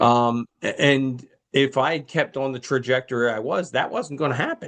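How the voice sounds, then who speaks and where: A man talks at a moderate pace in an ordinary speaking voice, his pitch fairly high. The background is quiet. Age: 60s. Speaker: pastor and podcast co-host. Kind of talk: casual chat about a film.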